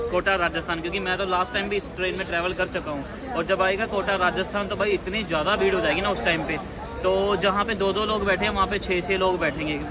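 A raised, projected voice moves at a fairly quick pace over crowd noise in the background, in a dry sound with no echo. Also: man. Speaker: travel vlogger. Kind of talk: casual vlog chat. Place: train. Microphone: phone near.

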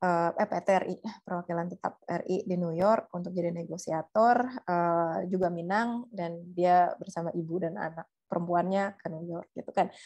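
Against a quiet background, a woman with a plain, everyday voice speaks at a fairly slow pace and a fairly low pitch, with fairly even intonation and hardly any pauses. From Indonesia. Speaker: researcher; guest. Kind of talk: webinar talk. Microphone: video call.

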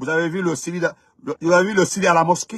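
A man's animated, high-pitched voice with a bright, sharp tone and a Guinean accent, dry with no echo, against a quiet background. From Guinea (Dongol-Touba area). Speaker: political commentator. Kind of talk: live-stream monologue. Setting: live stream. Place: car. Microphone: phone near.

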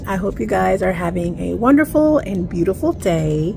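Light background noise sits under a woman talking at a fairly slow pace. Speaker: travel vlogger. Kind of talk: casual vlog chat. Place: street. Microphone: phone near.

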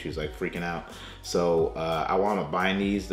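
Fairly quick speech comes from a man. Room echo is audible, and faint music plays in the background. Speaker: food reviewer. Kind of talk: casual vlog chat. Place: home room.

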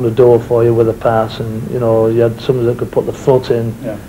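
With a Lancashire accent, the speaker goes at a very fast pace in a monotone, flat intonation over light background noise. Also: man. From northern England, Lancashire; northern England. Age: 50s. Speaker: former footballer. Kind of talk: interview. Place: home room.

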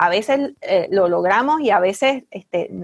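A woman with a Puerto Rican accent, medium pitch and a slightly husky edge, lively intonation at a slow pace, in a dry, close sound with no echo.

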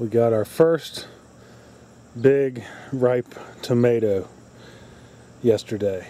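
Delivered at a very slow pace with ordinary pitch variation, the voice has a dry sound with no echo. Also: man. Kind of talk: casual vlog chat. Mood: chatty, mildly disappointed. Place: garden. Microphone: phone near.

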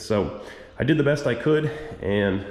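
A man's moderately paced talk is accompanied by audible room echo. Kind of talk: casual vlog chat. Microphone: phone near.

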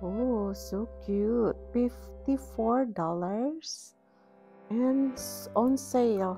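Faint music plays in the background. The speech moves at a very slow pace. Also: woman. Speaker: shopping vlogger. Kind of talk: casual vlog chat. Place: shop. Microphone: phone near.

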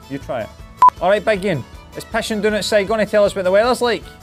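A man with a strong Scottish accent, clear music in the background. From Scotland. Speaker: tech reviewer. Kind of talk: casual talk to camera. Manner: cheeky, irreverent. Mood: wry, exasperated humor. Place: studio. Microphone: lapel.

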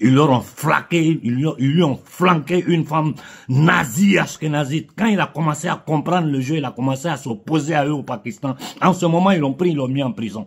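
A man with a fairly high pitch at a moderate pace, ordinary pitch variation, quiet background. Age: 50s. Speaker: political commentator. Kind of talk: political monologue. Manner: impassioned. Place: home room. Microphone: phone near.

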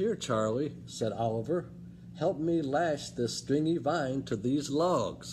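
Over light background noise, a man with a fairly high pitch speaks very slowly in a warm, gentle, somewhat breathy tone with ordinary pitch variation. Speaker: librarian reading aloud. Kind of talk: children's storybook read-aloud, bedtime-story style with character voices. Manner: animated, expressive, shifting voices for each character; warm, friendly, gentle pacing. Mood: warm, expressive storytelling. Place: hall. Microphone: phone near.

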